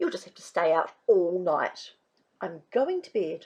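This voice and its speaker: Using a put-on character voice, a woman talks at a fairly slow pace with a medium pitch. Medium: read story.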